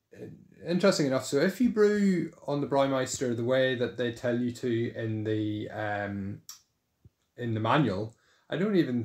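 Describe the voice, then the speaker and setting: A man talks with lively intonation at a moderate pace, the background staying quiet. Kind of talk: casual tour narration. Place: home room. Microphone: phone near.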